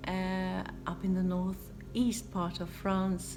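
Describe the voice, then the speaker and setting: A woman speaks with a Swedish accent. Music plays in the background amid audible room echo. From Sweden. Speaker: DIY home renovation vlogger. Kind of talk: casual Q&A vlog.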